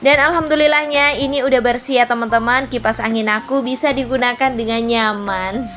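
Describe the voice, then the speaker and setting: A woman's loud, high-pitched shouting at a fairly quick pace, with fairly even intonation, hardly any pauses and music in the background. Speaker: housewife vlogger. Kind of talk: voice-over tutorial. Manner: loud, somewhat shouting; casual, chatty.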